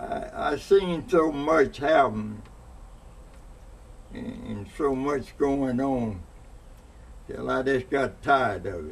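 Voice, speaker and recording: A man talks at a very slow pace with long, frequent pauses. Noticeable background noise sits behind his voice. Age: 90s. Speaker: elderly interviewee. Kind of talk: oral history interview. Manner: halting.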